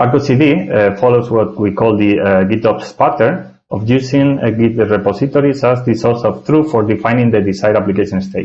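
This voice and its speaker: A man with a Spanish accent speaks at a fairly quick pace, with hardly any pauses. His pitch is medium, with ordinary variation, and his loudness stays very even. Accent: non-native English, Spanish. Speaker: software architect, tech speaker. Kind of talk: technical presentation. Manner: hesitant, many filler sounds.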